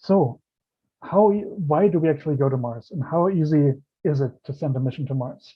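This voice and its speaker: Someone with a German accent speaks at a moderate pace with ordinary pitch variation. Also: man, fairly high pitch for a man. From Germany. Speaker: planetary scientist. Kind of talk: lecture.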